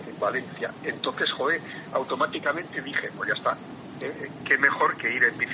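At a moderate pace, a man speaks with big swings in loudness over noticeable background noise. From Basque Country (San Sebastián). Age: 70s. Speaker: cyclist. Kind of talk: casual interview.

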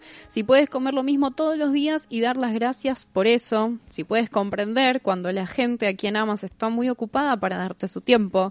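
A normal speaking voice from a woman, fairly high in pitch, with lively intonation at a moderate pace in a dry, close sound with no echo. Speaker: radio host. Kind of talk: casual chat.

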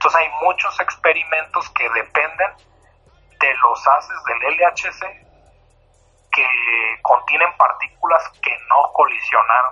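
A man speaks at a very slow pace, pausing long and often. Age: 20s. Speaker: particle physicist and science communicator. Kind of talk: interview.

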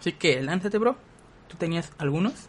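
Here a man is talking at a moderate pace. His pitch varies in an ordinary way. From southern Mexico. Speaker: podcast host. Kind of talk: casual chat.

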